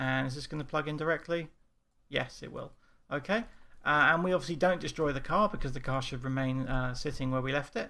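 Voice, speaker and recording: A bright, sharp tone in an English accent comes through with ordinary pitch variation on a very clean recording with a silent background. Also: man, fairly high pitch for a man, fairly quick pace. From England. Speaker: game development instructor. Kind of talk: tutorial. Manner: casual.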